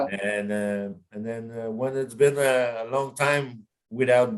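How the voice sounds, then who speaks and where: A man with a Quebec accent and ordinary pitch variation. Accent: Québécois French. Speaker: heavy metal singer. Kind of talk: interview answer.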